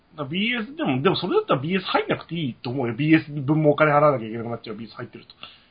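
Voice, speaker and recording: Over noticeable background noise, a man with a fairly high pitch races along at a very fast pace, hardly pausing, with lively intonation and big swings in loudness. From Japan. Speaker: podcast co-host. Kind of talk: casual chat. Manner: animated.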